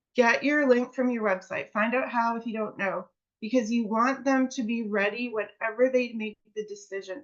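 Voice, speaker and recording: This woman has an unremarkable speaking voice, pitched fairly high. She talks at a moderate pace with fairly even intonation. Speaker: network marketing presenter. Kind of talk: presentation to a seminar audience.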